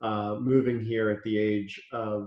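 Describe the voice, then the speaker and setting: A man speaks in a Philadelphia accent with a fairly low pitch. His intonation is monotone and flat. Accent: American, Philadelphia. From US, Philadelphia (born in Israel). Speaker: chef and restaurant owner. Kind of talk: interview.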